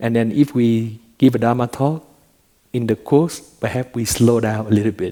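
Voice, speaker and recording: His tone is dark and mellow, pitched at a medium level. This man's intonation remains fairly even. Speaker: Buddhist monk teacher. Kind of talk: dharma talk. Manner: slow, with pauses.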